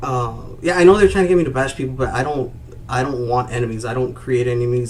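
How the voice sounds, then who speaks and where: Someone talks at a very fast pace in an American accent. Audible room echo and noticeable background noise fill the recording. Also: man. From Rio Grande Valley, Texas. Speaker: YouTube streamer. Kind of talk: live stream chat. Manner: monotone.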